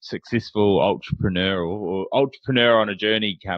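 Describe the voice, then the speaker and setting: This man talks at a moderate pace with a New Zealand accent. His pitch sits fairly low and varies in an ordinary way. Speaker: podcast host. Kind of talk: interview podcast. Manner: halting, many fillers.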